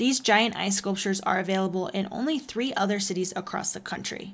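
A woman talks at a fairly quick pace in a plain, everyday voice, medium in pitch with ordinary pitch variation. The recording is very clean, with a silent background. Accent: American. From Texas. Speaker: podcast co-host. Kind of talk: semi-scripted travel podcast.

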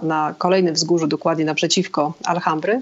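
A woman's fairly low-pitched voice moves at a moderate pace. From Poland, Szczecin. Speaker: travel blogger and hostel owner. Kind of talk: interview. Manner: halting.

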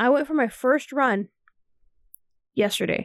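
The speech comes at a fairly slow pace with ordinary pitch variation. The sound is dry and close with no echo, in a very clean recording with a silent background. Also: woman. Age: 30s. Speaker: phlebotomist and student. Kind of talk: casual chat. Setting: home studio.

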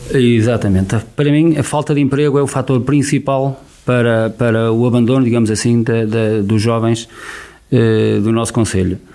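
At a moderate pace, a man with a medium pitch and a dark, mellow tone speaks with fairly even intonation and very even loudness. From Portugal, Viseu district. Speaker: local election candidate. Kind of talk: radio election debate. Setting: radio studio.

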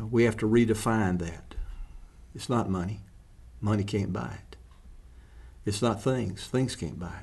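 A fairly low-pitched man at a moderate pace, with vocal fry, ordinary pitch variation, big swings in loudness, long, frequent pauses and audible room echo. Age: 70s. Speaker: ministry founder. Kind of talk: casual chat.

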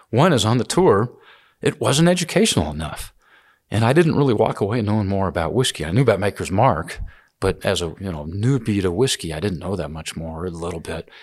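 On a very clean recording with a silent background, a man with a plain, everyday voice and an American accent speaks at a fairly quick pace, his fairly low pitch carrying lively intonation. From US South, Georgia. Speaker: whiskey distiller and business founder. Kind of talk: interview.

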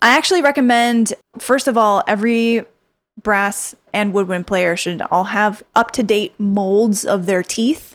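On a very clean recording with a silent background, a woman with a plain, everyday voice speaks fairly slowly at a fairly high pitch with ordinary pitch variation. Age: 30s. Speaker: orchestral tuba player. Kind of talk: casual interview.

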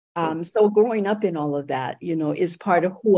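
A woman's dark, mellow voice moves with ordinary pitch variation. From Puerto Rico. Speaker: education professor and activist. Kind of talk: radio interview. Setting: radio studio.

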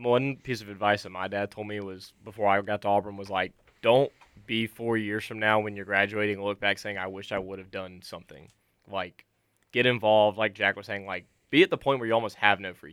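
In a normal speaking voice, a man with a fairly low pitch talks at a fairly quick pace with fairly even intonation, recorded very cleanly over a silent background. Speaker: college radio station manager. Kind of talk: casual chat. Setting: studio.

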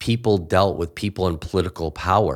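A man speaks with a very deep, low pitch at a moderate pace. The recording is very clean, with a silent background. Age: 50s. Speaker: senior pastor. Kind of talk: casual interview.

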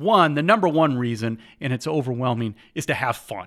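A man's medium-pitched voice with lively intonation at a moderate pace, on a very clean recording over a silent background. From Indiana, US Midwest. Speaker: professor of sport management, podcast host. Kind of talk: solo podcast talk, lecture-style.

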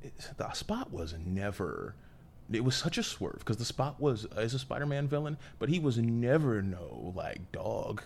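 Lively intonation marks this man's medium-pitched, somewhat breathy voice. He speaks at a moderate pace. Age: 20s. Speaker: podcast guest, comics fan. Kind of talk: casual chat.

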